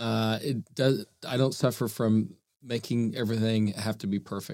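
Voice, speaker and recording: A man with an American accent speaks at a medium pitch and a moderate pace, with ordinary pitch variation and an unremarkable speaking voice. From Oklahoma City. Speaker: nonprofit foundation leader. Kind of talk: casual interview.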